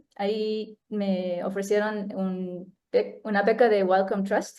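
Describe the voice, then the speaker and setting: A woman talks at medium pitch with a non-native accent. Her intonation stays fairly even. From United States. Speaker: neuroscientist. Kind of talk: talk presentation. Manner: halting.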